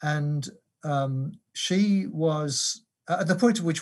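A somewhat breathy man with an English accent, fairly high pitch and ordinary pitch variation, on a very clean recording with a silent background. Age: 70s. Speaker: theology professor and pastor. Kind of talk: interview. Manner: hesitant, many uh and um.

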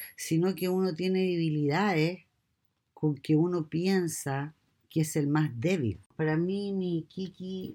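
With a Chilean accent, a woman speaks at a very slow pace in a very deep, low pitch, her tone dark and mellow with ordinary pitch variation. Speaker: mother interviewed by her daughter. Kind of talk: casual chat.

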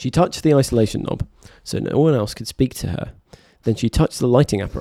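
A natural voice reads text aloud here.

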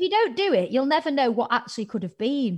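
Her pitch swings very widely. The woman talks at a fairly quick pace. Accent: Mancunian. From northern England. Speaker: TV presenter and podcaster. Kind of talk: casual interview chat. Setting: video call.

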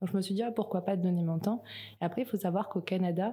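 A woman speaks at medium pitch with ordinary pitch variation. Her tone is dark and mellow, and somewhat breathy. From New Caledonia. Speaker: project manager at a recycling network. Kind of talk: interview.

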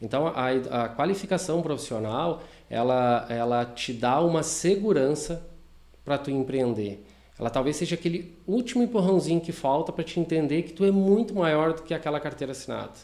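A man's fairly high voice with a dark, mellow tone, lively intonation and a moderate pace. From southern Brazil, Rio Grande do Sul (Taquari). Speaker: franchise owner of a vocational school. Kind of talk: casual interview chat. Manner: hesitant, many fillers.

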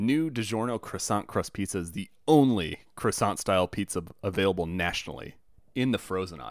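A man with an unremarkable speaking voice talks at a moderate pace and a fairly low pitch, with ordinary pitch variation, on a very clean recording with a silent background. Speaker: returning podcast guest. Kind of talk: casual banter.

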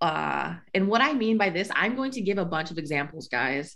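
A woman with an American accent, vocal fry and lively intonation, over a quiet background. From US Midwest. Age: 20s. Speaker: podcast co-host. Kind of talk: casual chat.

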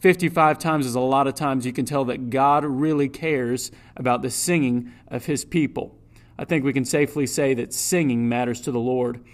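In a plain, everyday voice, a man talks at a fairly quick pace with medium pitch and fairly even intonation. The recording is very clean and the background silent. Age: 20s. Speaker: church music staff and preacher. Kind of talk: sermon.

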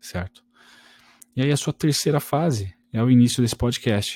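A man's somewhat breathy voice with a dark, mellow tone, in a very clean recording with a silent background. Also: dry, close sound with no echo. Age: 20s. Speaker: trading podcaster. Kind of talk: solo podcast tutorial. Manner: casual, conversational.

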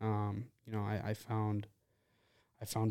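A man speaks at medium pitch in an American accent, his tone dark and mellow. The recording is very clean, with a silent background. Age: 20s. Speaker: person in addiction recovery. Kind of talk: personal testimony in casual chat.

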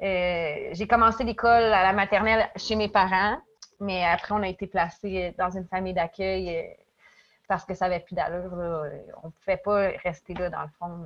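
At a moderate pace and medium pitch, a woman with an unremarkable speaking voice talks with fairly even intonation. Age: 30s. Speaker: daycare educator, former youth in foster care. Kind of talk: personal testimony in interview.

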